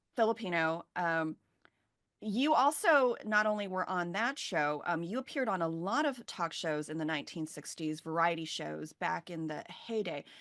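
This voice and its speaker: In a normal speaking voice, a woman speaks at a moderate pace with lively intonation and a fairly low pitch. The background is quiet. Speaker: documentary filmmaker. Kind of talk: moderating a virtual Q&A event. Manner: casual, conversational.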